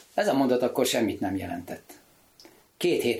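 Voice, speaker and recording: Somewhat breathy speech at a moderate pace with very wide pitch swings, in a very clean recording over a silent background. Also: man. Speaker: sculptor and author. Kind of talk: casual chat.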